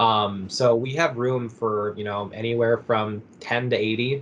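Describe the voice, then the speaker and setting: The man has an ordinary speaking voice, medium in pitch, with fairly even intonation. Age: 20s. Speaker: university academic advisor. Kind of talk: casual interview.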